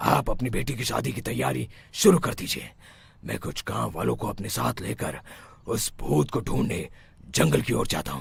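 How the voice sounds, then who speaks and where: In a cartoonish character voice, a man speaks at a moderate pace with very deep, low pitch and very wide pitch swings. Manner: assured, commanding.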